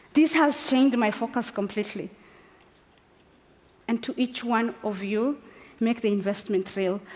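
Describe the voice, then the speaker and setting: A woman speaks at a fairly high pitch. Noticeable background noise sits under her voice. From northern Kenya. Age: 40s. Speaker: women's football advocate. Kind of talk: inspirational speech. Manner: impassioned.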